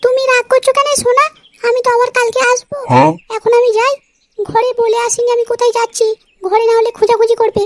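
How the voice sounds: In a cartoonish character voice, a woman speaks at an extremely high pitch and a moderate pace, her intonation monotone and flat and her loudness very even, with a dry, close sound and no echo.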